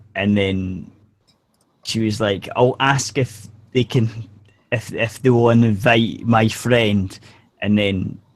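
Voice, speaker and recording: At a fairly slow pace, a man with a medium-pitched voice talks in a fairly even intonation, leaving long, frequent pauses. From Scotland. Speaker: podcast co-host. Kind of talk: casual group chat. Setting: online video hangout.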